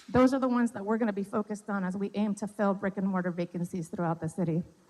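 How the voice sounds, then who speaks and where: This woman's voice has ordinary pitch variation. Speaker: city economic development official. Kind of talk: public presentation. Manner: fast. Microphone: mic cutting out.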